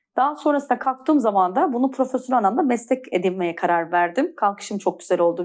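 A woman's plain, everyday voice at a fairly quick pace, with hardly any pauses, very even loudness, lively intonation, and a very clean recording against a silent background. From Turkey, Antalya. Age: 40s. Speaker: pilates trainer. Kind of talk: interview, personal testimony.

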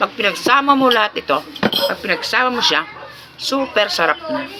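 Noticeable background noise under a woman talking at a moderate pace. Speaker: vlogger. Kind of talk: casual food vlog. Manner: chewing while talking.

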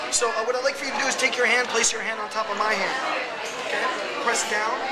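Loud background noise runs under the recording. A man speaks at a fairly quick pace. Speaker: magician and hypnotist. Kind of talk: hypnosis induction. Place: cafe. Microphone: phone near.

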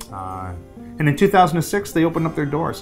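The speaker is male and keeps a moderate pace. Music plays clearly behind him. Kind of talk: interview answer. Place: office.

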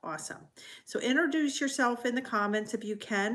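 A woman speaks with ordinary variation in pitch. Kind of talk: casual live stream talk. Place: home room. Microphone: phone near.

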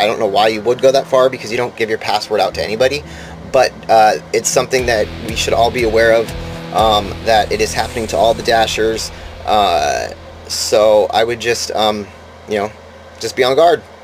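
A man at a moderate pace with fairly even intonation, music in the background. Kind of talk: casual vlog chat. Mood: earnest warning. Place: home room. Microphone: webcam.

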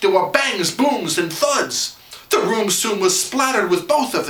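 Reading done in an unforced voice

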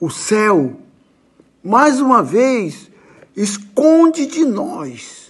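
This man talks very slowly in a high voice, with very wide swings in pitch. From Brazil. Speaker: actor. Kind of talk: poetry reading. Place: home room. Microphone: phone near.

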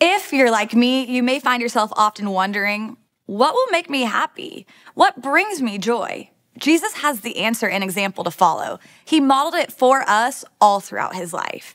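With very wide pitch swings, a woman speaks in a high voice at a moderate pace. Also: quiet background. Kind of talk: church welcome announcement. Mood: warm and welcoming. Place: studio.

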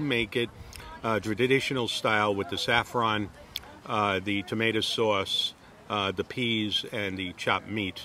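Over light background noise, a man talks with fairly even intonation in a dry sound with no echo. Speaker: home chef reviewing a restaurant. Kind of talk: casual vlog chat. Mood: relaxed, chatty. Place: garden. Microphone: phone near.

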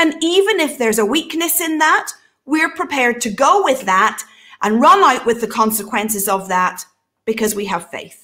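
At a moderate pace, a woman speaks in a high, bright, sharp voice with very wide pitch swings and an animated tone over a quiet background. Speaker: prophetic minister and show host. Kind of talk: casual panel Q&A discussion. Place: home room.

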